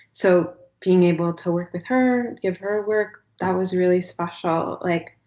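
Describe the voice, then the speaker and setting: Soft-spoken and at a fairly slow pace, a woman talks at a medium pitch. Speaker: artist. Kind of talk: interview answer.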